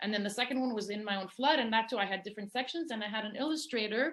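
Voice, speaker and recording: This woman speaks with a Greek accent at a fairly high pitch. Her pitch shows ordinary variation. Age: 50s. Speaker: poet and novelist. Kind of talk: casual interview. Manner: fast.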